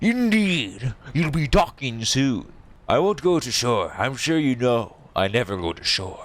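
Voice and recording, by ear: Putting on a gruff character voice, a man speaks at medium pitch and a fairly slow pace.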